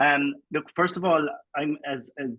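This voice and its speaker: A man with a Cork accent speaks with fairly even intonation in a dry, close sound with no echo. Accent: Cork Irish English. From Ireland, Cork. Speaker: education researcher. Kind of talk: award acceptance speech. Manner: halting with fillers.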